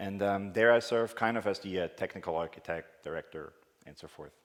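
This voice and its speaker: With a Swiss accent, a man talks at a moderate pace. His pitch is fairly low, with ordinary variation. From Switzerland. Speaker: conference speaker, technical director. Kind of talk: conference talk. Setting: conference stage with audience.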